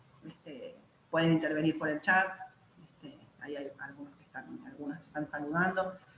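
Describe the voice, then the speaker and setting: Over noticeable background noise, a woman with a very deep, low pitch talks at a fairly quick pace with lively intonation and long, frequent pauses. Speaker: university lecturer. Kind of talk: online lecture workshop. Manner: many filler words.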